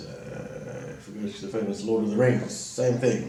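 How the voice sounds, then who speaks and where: With a Southern African accent and a medium pitch, a man speaks over noticeable background noise with audible room echo. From Southern Africa, schooled in Zimbabwe. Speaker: vlogger. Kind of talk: casual monologue. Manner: halting, with many fillers.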